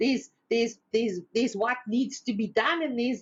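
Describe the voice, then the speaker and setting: A loud woman's voice in an animated tone. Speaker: spiritual teacher. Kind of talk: inspirational talk.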